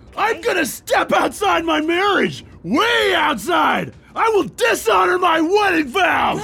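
Shouting at an extremely high pitch, a man talks at a fairly slow pace with hardly any pauses. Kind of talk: comic overacting. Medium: audio drama. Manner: manic, shouting, comic overacting.

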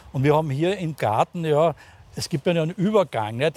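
A man's somewhat breathy voice, with ordinary pitch variation, comes through a very clean recording with a silent background and a dry, close sound with no echo. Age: 60s. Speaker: pharmacist. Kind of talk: casual conversational interview. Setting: outdoors in a rooftop garden. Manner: halting, many fillers.

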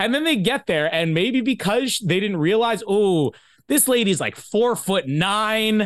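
A man speaks at a high pitch with lively intonation. The background is quiet. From Canada. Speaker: podcast host. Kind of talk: casual chat. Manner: jokey, laughs often.

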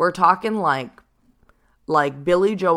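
The recording is very clean, and the background is silent. A woman talks with ordinary pitch variation. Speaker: podcast host and spiritual guide. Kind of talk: solo reflective talk.

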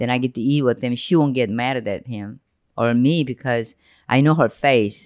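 On a very clean recording with a silent background, a woman with a Korean accent and a very deep, low pitch talks at a moderate pace with ordinary pitch variation. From South Korea, Seoul. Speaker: podcast host's mother. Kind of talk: emotional personal interview.

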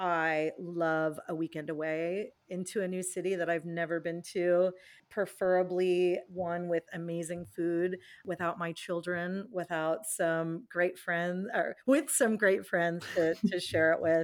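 A woman with an American accent has a plain, everyday voice and a fairly low pitch. She speaks at a fairly slow pace with fairly even intonation. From California, US. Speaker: business executive. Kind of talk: interview. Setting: remote interview from home.

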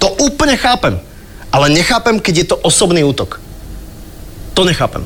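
Very wide pitch swings at a moderate pace, with long, frequent pauses, very even loudness and noticeable background noise. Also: man, high pitch for a man. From Slovakia, Bratislava. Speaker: podcast host. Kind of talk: casual chat.

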